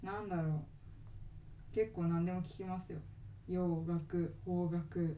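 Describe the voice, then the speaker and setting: In a room with audible echo, a woman speaks very slowly in a fairly low, dark, mellow voice, flat and monotone, with long, frequent pauses. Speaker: podcast co-host. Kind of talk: casual chat. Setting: recording at home.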